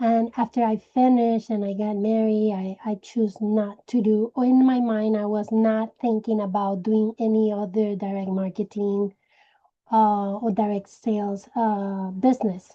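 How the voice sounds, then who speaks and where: This woman, speaking with a Puerto Rican accent, has a fairly high pitch, a dark, mellow tone and monotone, flat intonation. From Puerto Rico. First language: Spanish. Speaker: direct sales team leader. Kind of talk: personal story talk to sales team. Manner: hesitant, with many fillers.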